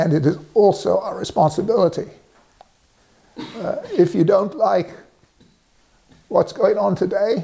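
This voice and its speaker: With an English accent, a man speaks at a fairly slow pace, leaving long, frequent pauses. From England. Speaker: resident sharing civic views. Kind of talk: direct-to-camera statement. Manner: halting, many fillers.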